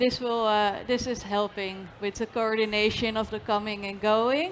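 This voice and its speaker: A woman with a Dutch accent, monotone, flat intonation and a moderate pace. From Netherlands. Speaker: trucking and logistics company representative. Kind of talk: panel discussion. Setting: stage with audience at industry congress.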